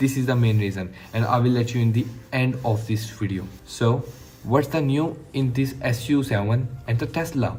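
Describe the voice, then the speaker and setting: Audible room echo surrounds a man speaking at a moderate pace and medium pitch. His tone is dark and mellow, somewhat breathy, with ordinary pitch variation. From Pakistan. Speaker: tech YouTuber. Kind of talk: casual product review monologue. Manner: enthusiastic; halting.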